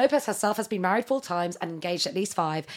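Animated and very fast, a woman speaks at a medium pitch in a British accent. The recording is very clean, with a silent background. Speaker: podcast co-host. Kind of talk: casual chat. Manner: animated, fast, chatty.

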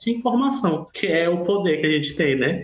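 A man with a high-pitched voice and very wide pitch swings speaks in a room with audible echo and noticeable background noise. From Ceará, Brazil. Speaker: musician and activist. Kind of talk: casual chat.

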